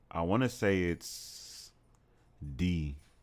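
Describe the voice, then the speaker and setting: A man's very deep, low voice with ordinary pitch variation, on a very clean recording with a silent background. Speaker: math tutor streamer. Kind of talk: live tutoring stream. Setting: livestream with chat. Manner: casual.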